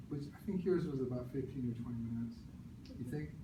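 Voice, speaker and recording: Audible room echo around a man with ordinary pitch variation. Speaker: speech language pathologist. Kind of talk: presentation to audience. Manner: stutters.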